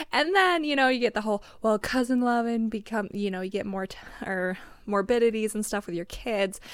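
In a normal speaking voice, a woman with an American accent talks at a moderate pace and fairly high pitch, with ordinary pitch variation and a very clean recording over a silent background. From Montana, US. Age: young. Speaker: relative of host raised in polygamous community. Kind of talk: casual chat. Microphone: audio distorted and echoey towards the end.

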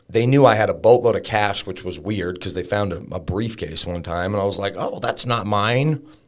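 A normal speaking voice from a man, fairly low in pitch, with ordinary pitch variation, a moderate pace and hardly any pauses. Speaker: fitness coach and business owner. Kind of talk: casual interview, recovery story.

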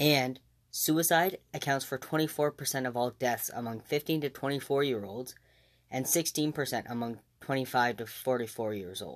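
A plain, everyday voice from a man, medium in pitch with ordinary variation, at a moderate pace in a very clean recording with a silent background. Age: 20s. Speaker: podcast host. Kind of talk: solo podcast monologue.

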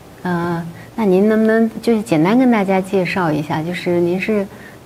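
Noticeable background noise sits behind a woman talking at a moderate pace. Her voice is medium in pitch, with ordinary pitch variation. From mainland China. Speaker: interviewer. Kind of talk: interview.

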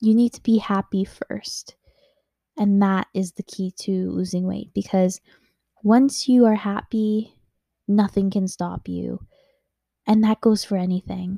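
On a very clean recording with a silent background and a dry, close sound with no echo, a woman speaks somewhat breathily in a dark, mellow tone at a medium pitch, with fairly even intonation, a fairly slow pace and long, frequent pauses. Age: 20s. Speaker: podcast host. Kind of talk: personal monologue. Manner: hesitant, filler-heavy.

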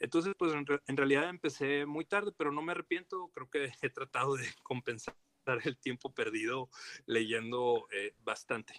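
A man with a plain, everyday voice talks at a moderate pace, fairly high in pitch with ordinary pitch variation. The sound is dry and close, with no echo. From Torreón, Coahuila, Mexico (La Laguna region). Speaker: historian and archive director. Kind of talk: casual interview.

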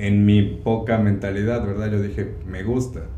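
Male speech with ordinary pitch variation, audible room echo and noticeable background noise. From Mexico, Córdoba, Veracruz. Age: 30s. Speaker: chef. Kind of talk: interview conversation.

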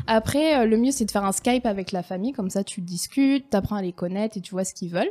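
Very fast and medium-pitched, a woman talks with ordinary pitch variation in a dry, close sound with no echo. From France. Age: 20s. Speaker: former au pair, tourism worker. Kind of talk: casual interview.

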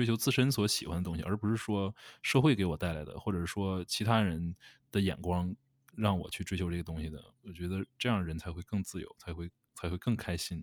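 On a very clean recording with a silent background and a dry, close sound with no echo, a man speaks at a very deep, low pitch. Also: ordinary pitch variation. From Northeast China. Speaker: podcast co-host. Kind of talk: casual chat. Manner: halting, repeats words.

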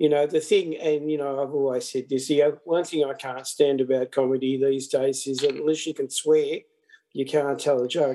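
Fairly high for a man, this voice has a dark, mellow tone, fairly even intonation and a moderate pace. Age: 60s. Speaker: podcast guest, host's father. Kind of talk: casual chat. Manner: halting, many fillers.

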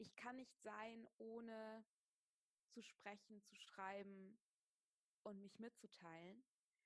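A woman with a fairly high pitch speaks at a very slow pace in a monotone, flat way, leaving long, frequent pauses, her sound dry and close with no echo. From Germany, Wiesbaden (Hesse). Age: 30s. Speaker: yoga teacher and writer. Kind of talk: casual interview. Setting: video call.

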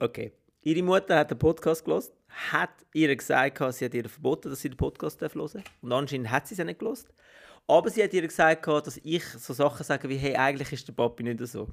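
In a very clean recording with a silent background, a man with a normal speaking voice talks fairly quickly at a fairly high pitch, his intonation lively. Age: 40s. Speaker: podcast co-host. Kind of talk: casual chat.

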